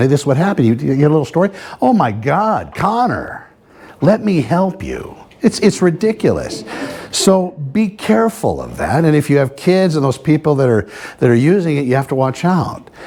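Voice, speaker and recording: Over noticeable background noise, a man talks at a fairly quick pace with a fairly high pitch and lively intonation. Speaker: real estate agent giving a presentation. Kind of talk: live presentation to an audience. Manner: fast.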